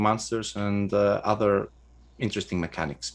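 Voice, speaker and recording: A man talks with a Greek accent. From Greece. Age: 30s. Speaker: game designer and writer. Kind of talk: interview. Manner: halting, many fillers.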